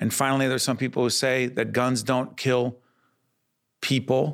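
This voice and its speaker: Recorded very cleanly against a silent background, a man with an American accent speaks at a moderate pace and medium pitch. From Newark, New Jersey. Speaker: podcast and TV host. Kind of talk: interview and moderated debate. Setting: studio.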